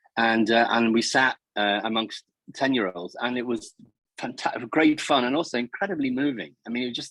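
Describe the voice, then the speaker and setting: Someone with a Liverpool accent talks at a moderate pace with ordinary pitch variation. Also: man, medium pitch for a man. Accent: Liverpool (Scouse). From Liverpool, northern England. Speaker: charity chairman hosting awards. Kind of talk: interview.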